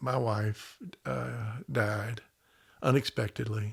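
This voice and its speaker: Somewhat breathy, a man with a Southern US accent talks at a medium pitch with fairly even intonation. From US South, Memphis, Tennessee. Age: 70s. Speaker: podcast guest. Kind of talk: casual chat. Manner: halting.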